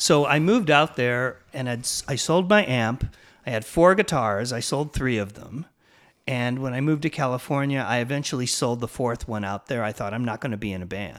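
Speaking in an unremarkable speaking voice with an American accent, a man uses a medium pitch, lively intonation and a moderate pace on a very clean recording with a silent background. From Illinois, Peoria. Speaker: punk rock musician. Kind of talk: interview.

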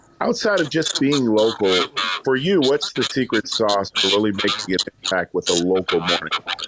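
A man with medium pitch uses a normal speaking voice, lively intonation, a moderate pace and very even loudness, captured with a dry, close sound with no echo. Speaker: radio programmer and co-host. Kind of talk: interview. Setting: audio chat app room.

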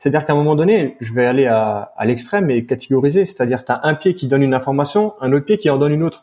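In a dark, mellow tone, the voice moves at a very fast pace with hardly any pauses and ordinary pitch variation. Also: man, fairly high pitch for a man. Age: 20s. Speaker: posturologist and strength coach. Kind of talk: interview.

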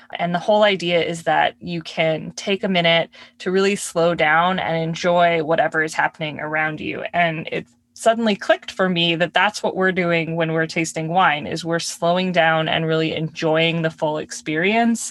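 This woman has a plain, everyday voice, pitched fairly low. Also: fairly even intonation, moderate pace, hardly any pauses. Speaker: wine podcast co-host. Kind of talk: casual chat. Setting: recording in a closet. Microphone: audio glitches, poor sound.

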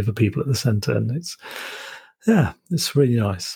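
A man speaks with a Yorkshire accent at a medium pitch with ordinary variation. His tone is dark and mellow, with vocal fry. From Yorkshire, northern England. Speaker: podcast host. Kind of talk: interview conversation. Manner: halting.

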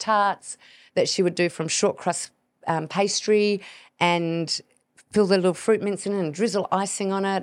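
In a very clean recording with a silent background, a woman with an Australian accent speaks at a medium pitch with fairly even intonation. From Tasmania, Australia. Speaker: podcast host and hormone health expert. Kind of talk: casual monologue.

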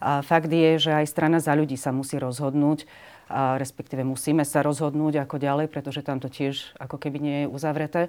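A woman speaks at a fairly quick pace in a very deep, low pitch, her intonation flat and monotone. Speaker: member of parliament. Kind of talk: interview.

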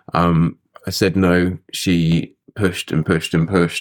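A man's very deep, low voice in a British accent, monotone and flat, with a dry, close sound and no echo. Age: 30s. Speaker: person in addiction recovery. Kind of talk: interview. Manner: halting.

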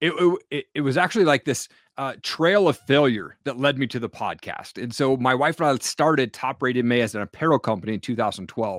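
In a plain, everyday voice, a man speaks at a fairly quick pace with lively intonation and hardly any pauses. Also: medium pitch for a man. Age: 40s. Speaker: podcast host and entrepreneur. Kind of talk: interview.

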